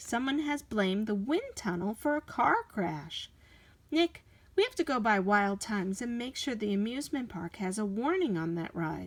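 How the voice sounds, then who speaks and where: A woman uses a put-on character voice with fairly high pitch. She speaks at a moderate pace. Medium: read story. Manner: eager, earnest.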